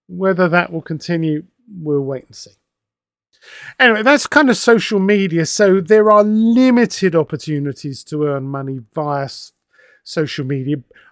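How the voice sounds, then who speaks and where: A man with an English accent talks at a moderate pace and high pitch, with lively intonation and big swings in loudness. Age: 60s. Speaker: wargaming magazine editor and author. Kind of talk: casual monologue. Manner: conversational with hesitations.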